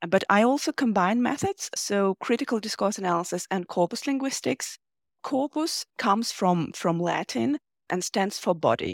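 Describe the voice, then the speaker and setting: A woman with an unremarkable speaking voice talks at a moderate pace in a medium pitch. Her intonation is lively, and the sound is dry and close with no echo. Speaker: linguistics researcher. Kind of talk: interview about research.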